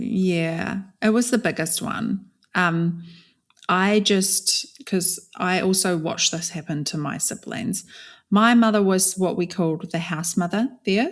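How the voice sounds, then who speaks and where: A woman's medium-pitched voice with a New Zealand accent, ordinary pitch variation and a fairly slow pace, in a very clean recording with a silent background. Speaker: author and speaker, former cult member. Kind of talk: podcast interview, personal story.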